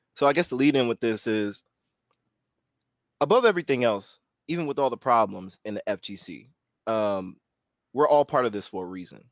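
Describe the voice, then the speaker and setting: A man at a medium pitch speaks at a fairly quick pace with long, frequent pauses, lively intonation and big swings in loudness, in a dry, close sound with no echo over a quiet background. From northern California. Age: 30s. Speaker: panel discussion host. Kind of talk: roundtable discussion.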